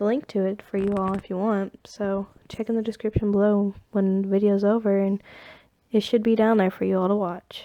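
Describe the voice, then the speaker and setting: Moving at a fairly quick pace, a woman with an American accent speaks in a dark, mellow tone with monotone, flat intonation. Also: medium pitch for a woman. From Eastern Kentucky, USA. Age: young (18). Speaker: hobby animator. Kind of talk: casual Q&A talk. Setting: phone recording. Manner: hesitant, many filler words.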